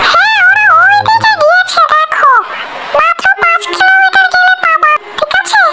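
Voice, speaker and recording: A put-on character voice from a woman, pitched extremely high and moving at a fairly slow pace. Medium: fan dub. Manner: casual, helpful.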